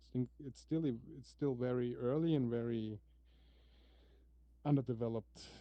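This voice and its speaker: A medium-pitched male voice, non-native accent throughout. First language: not English. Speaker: XR developer. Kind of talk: casual chat. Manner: halting.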